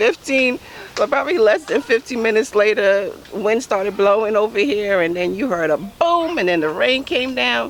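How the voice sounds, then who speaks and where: Loud speech at a moderate pace swings very widely in pitch over noticeable background noise. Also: woman, fairly high pitch for a woman. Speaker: home gardening vlogger. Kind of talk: casual vlog walkthrough. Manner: halting with many fillers.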